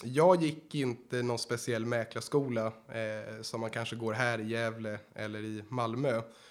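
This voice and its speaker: In a normal speaking voice, a man talks at a fairly slow pace and medium pitch with fairly even intonation and hardly any pauses. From Sweden. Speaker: real estate agent trainee. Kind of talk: casual interview.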